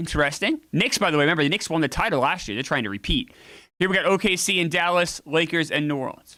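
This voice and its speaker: On a very clean recording with a silent background, a high-pitched man speaks very fast with lively intonation and a bright, sharp tone. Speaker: streamer playing a basketball video game. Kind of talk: casual live stream commentary. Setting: live stream with chat.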